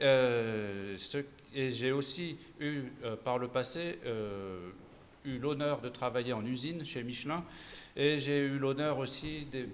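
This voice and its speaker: With long, frequent pauses, a man speaks at a very slow pace in a medium pitch with ordinary pitch variation. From Auvergne-Rhône-Alpes, France. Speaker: political candidate, nurse. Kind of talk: political debate. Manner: halting, many hesitations.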